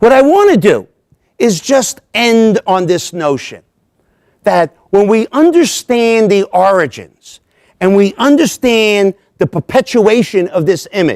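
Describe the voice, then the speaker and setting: The voice moves at a fairly slow pace with lively intonation and very even loudness, in a dry, close sound with no echo. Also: man, high pitch for a man. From US, Italian-American family. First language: Italian. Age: 60s. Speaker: professor of political science. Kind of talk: lecture.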